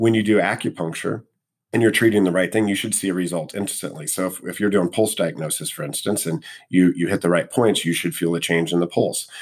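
A man speaks with a very deep, low pitch and ordinary pitch variation, in a very clean recording with a silent background. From US Midwest, Missouri (St. Louis). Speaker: acupuncturist. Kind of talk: interview conversation.

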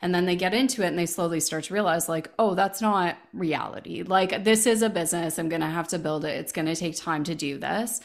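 Speaking at a fairly quick pace, a woman with an unremarkable speaking voice has a fairly low pitch and ordinary pitch variation. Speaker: business coach and podcast host. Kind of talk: interview.

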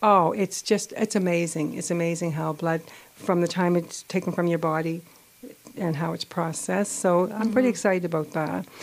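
Soft-spoken and fairly low in pitch, a woman talks at a fairly quick pace with fairly even intonation. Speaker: political candidate. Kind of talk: radio interview. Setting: studio.

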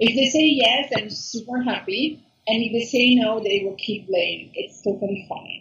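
With an Italian accent, a woman speaks at a moderate pace and a fairly high pitch, using ordinary pitch variation. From Italy, Milan. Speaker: food blogger and YouTuber. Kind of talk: interview. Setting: call.

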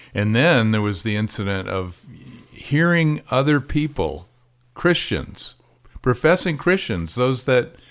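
With a plain, everyday voice, a man of medium pitch talks at a moderate pace with lively intonation. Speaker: podcast host. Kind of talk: interview. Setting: in person.

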